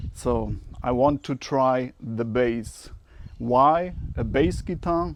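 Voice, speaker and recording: The speaker is a man with a German accent. His pitch is medium. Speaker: amateur musician vlogger. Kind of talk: unboxing video, casual talk to camera.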